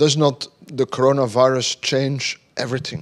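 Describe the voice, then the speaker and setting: A man is talking. The background is quiet. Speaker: invited lecturer. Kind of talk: lecture. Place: hall. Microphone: handheld.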